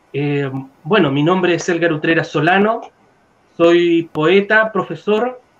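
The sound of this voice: Speaking at a fairly slow pace, a man has a fairly bright tone and ordinary pitch variation. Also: fairly high pitch for a man.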